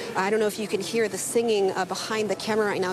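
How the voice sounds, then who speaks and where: A woman's medium-pitched, monotone, flat delivery amid noticeable background noise. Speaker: TV news reporter. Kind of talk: live news report. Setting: outdoors at fire scene. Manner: loud.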